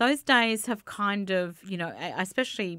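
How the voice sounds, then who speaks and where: A woman speaks with an Australian accent in a bright, sharp tone and ordinary pitch variation. The background is quiet. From Australia, Adelaide. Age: 40s. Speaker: community radio station manager. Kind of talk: casual interview. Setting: studio. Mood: relaxed, chatty storytelling. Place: studio. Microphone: studio mic.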